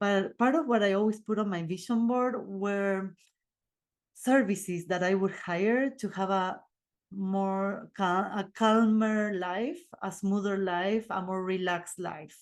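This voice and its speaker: In a quiet background, a woman with an Argentine accent speaks at a fairly slow pace. Her medium-pitched voice keeps a fairly even intonation. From Argentina. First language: Spanish. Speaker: podcast host and life coach. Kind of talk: casual monologue podcast. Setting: video recording. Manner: casual, unedited.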